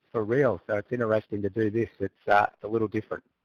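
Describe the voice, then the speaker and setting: Speaking very fast in an Australian accent, a man at medium pitch keeps a fairly even intonation, the sound dry and close with no echo. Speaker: sim racer, former real race driver. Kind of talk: casual chat.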